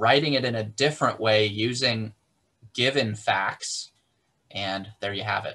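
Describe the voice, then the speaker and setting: Here a man speaks at a fairly slow pace. His pitch varies in an ordinary way. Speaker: math instructor. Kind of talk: lecture. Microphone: video call.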